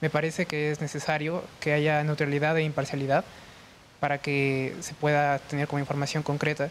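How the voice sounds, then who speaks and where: With a fairly high pitch and monotone, flat intonation, a man talks at a moderate pace. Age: 20s. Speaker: young panelist. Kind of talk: panel discussion. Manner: hesitant, many fillers.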